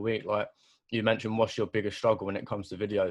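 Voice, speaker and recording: Against a quiet background, a man talks with a fairly low pitch. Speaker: podcast host. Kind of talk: podcast interview.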